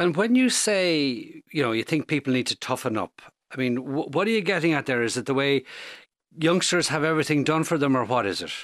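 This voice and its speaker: In a very clean recording with a silent background and a dry, close sound with no echo, a man with an Irish accent talks at a fairly high pitch and fairly quick pace with lively intonation. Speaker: radio podcast host. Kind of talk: interview. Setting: studio.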